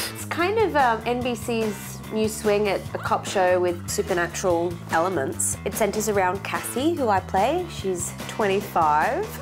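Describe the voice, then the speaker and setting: Over clear background music, a woman with an Australian accent speaks at a fairly slow pace with hardly any pauses. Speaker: actress. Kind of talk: interview answer. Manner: casual, jokey. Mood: relaxed, enthusiastic. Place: studio.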